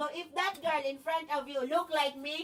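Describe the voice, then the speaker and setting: Fairly even intonation and a moderate pace shape a woman's speech. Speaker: livestreamer. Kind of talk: casual monologue. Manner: talks non-stop.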